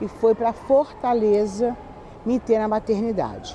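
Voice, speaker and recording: A woman with a fairly high pitch talks at a fairly slow pace over noticeable background noise. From Rio de Janeiro, Brazil. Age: 60s. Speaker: YouTuber telling life stories. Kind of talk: personal storytelling to camera. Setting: outdoors in a public square.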